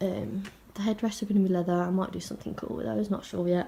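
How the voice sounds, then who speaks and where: A woman talks with an English Midlands accent at a fairly quick pace. Her medium-pitched voice is somewhat breathy. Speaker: automotive trimmer. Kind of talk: casual talk to camera.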